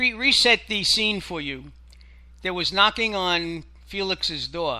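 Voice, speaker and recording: A raised, projected voice with a bright, sharp tone moves at a very slow pace with ordinary pitch variation. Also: man, high pitch for a man. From Israel. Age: 60s. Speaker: radio co-host. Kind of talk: casual chat.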